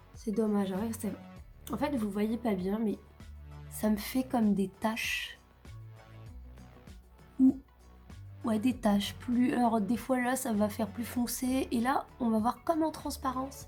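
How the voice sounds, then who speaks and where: Music plays in the background as a woman speaks very slowly, with long, frequent pauses. Her pitch is fairly high, with ordinary variation. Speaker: makeup youtuber. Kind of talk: casual talk to camera.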